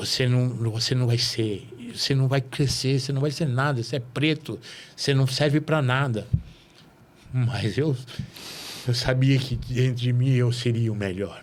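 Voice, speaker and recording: Pausing long and often, a man talks at a fairly slow pace in a medium, somewhat breathy voice. His intonation is fairly even and his loudness very even. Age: 60s. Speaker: podcast host. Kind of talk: casual interview chat.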